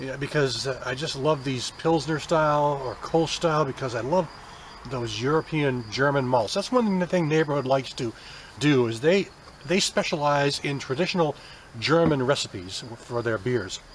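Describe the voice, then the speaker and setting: Through noticeable background noise, a man speaks in a relaxed tone at a moderate pace, fairly high in pitch with ordinary variation. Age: 50s. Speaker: beer reviewer. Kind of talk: casual product review. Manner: relaxed, hesitant with many fillers.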